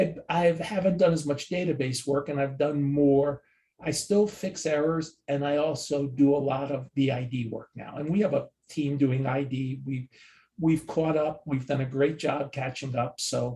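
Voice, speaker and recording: A man with an American accent, fairly high in pitch, with a dark, mellow, somewhat breathy tone, fairly even intonation and a moderate pace. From New Jersey. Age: 60s. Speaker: sports card database expert. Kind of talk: casual interview.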